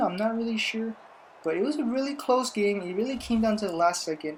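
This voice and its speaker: Delivery is fairly quick, with lively intonation. Noticeable background noise runs underneath. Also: woman. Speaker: gaming YouTuber giving NFL predictions. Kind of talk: casual sports commentary. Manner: loud.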